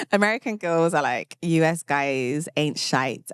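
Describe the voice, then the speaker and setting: A woman is speaking. She has a British accent. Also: dry, close sound with no echo. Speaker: podcast host. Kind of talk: casual monologue. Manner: animated.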